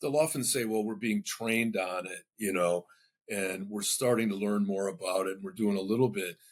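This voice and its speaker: A man with an American accent, fairly low pitch, ordinary pitch variation and moderate pace. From US Midwest, Michigan. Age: 60s. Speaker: marketing professor. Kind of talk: interview conversation. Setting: podcast interview. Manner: halting with many fillers and restarts.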